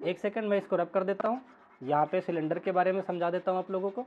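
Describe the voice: Pitched high, a man speaks at a fairly quick pace. His intonation stays fairly even.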